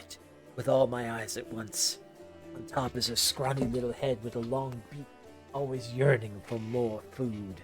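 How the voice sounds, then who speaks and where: Over clear music in the background, a man puts on a raspy character voice at a medium pitch and a moderate pace. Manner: evil, grimacing, hungry.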